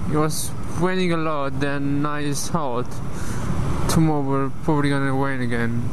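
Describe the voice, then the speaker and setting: The sound is dry with no echo, and background noise is noticeable. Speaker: motorcycle vlogger. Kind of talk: casual vlog chat. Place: motorbike. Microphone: helmet.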